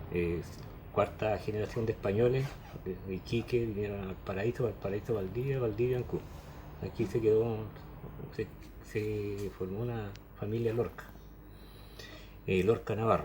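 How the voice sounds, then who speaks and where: Over noticeable background noise, a man with a fairly low pitch and fairly even intonation speaks with long, frequent pauses. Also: moderate pace. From southern Chile, Chiloé (Ancud). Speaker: former hospital worker. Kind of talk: oral history interview. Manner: hesitant, many fillers.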